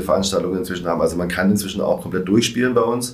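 A man's very deep, low pitch with fairly even intonation, amid noticeable background noise and audible room echo. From Germany, Swabia (Reutlingen). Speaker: stand-up comedian and event organizer. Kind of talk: casual chat. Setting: studio.

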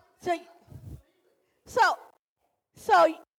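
A woman speaks at an extremely high pitch. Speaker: preacher. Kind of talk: sermon. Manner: animated.

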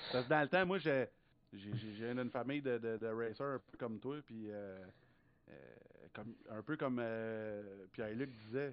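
A man with a Quebec accent speaks at a fairly slow pace, with long, frequent pauses. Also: medium pitch for a man, ordinary pitch variation. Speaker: racing podcast co-host. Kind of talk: casual chat.

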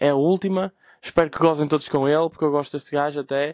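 With a northern Portuguese accent, a man speaks at a fairly quick pace and fairly high pitch. The sound is dry and close with no echo against a quiet background. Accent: Gaia (northern Portugal). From Portugal, Gaia. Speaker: podcast host. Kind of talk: casual chat. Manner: animated.

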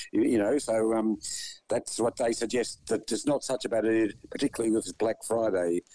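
A man with an Australian accent speaks at a fairly quick pace and medium pitch, his tone dark and mellow. His intonation is fairly even, his loudness very even, and the sound dry and close with no echo. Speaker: radio news co-host. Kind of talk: casual news discussion on radio. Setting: radio studio.

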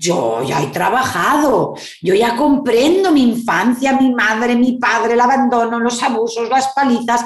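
Speaking very slowly, a woman with a Spanish accent uses a high pitch. Audible room echo and noticeable background noise surround her. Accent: Peninsular Spanish. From Spain. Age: 50s. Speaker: psychologist and therapist. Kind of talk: interview. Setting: video call.

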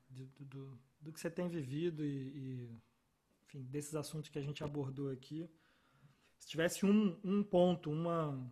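With long, frequent pauses, a man speaks at a fairly slow pace in a dark, mellow, somewhat breathy tone, at a fairly high pitch with ordinary pitch variation. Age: 30s. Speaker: podcast host. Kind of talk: casual chat.

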